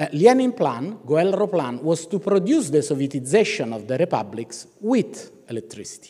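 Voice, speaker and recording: With an Italian accent, a man speaks in a dark, mellow tone at a fairly high pitch, with vocal fry, very wide pitch swings and hardly any pauses. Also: moderate pace. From Italy. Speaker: professor of ethics. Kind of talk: keynote lecture. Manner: halting, with fillers and restarts.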